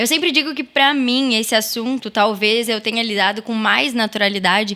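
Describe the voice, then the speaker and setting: Speaking at a moderate pace, a woman with a plain, everyday voice has fairly high pitch and ordinary pitch variation. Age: 20s. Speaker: mother and stepmother sharing her story. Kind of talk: podcast interview.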